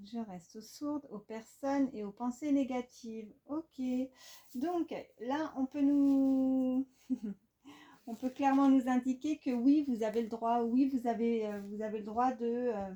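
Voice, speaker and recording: Speaking at a very slow pace, a woman with a high pitch and a dark, mellow tone keeps her intonation fairly even. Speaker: tarot card reader. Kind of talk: tarot reading. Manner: halting, many fillers.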